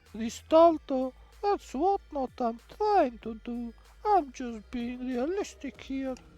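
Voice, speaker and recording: A woman does a put-on character voice, high-pitched with very wide pitch swings and big swings in loudness. She talks at a fairly slow pace over background music. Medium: game stream. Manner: cool and teasing.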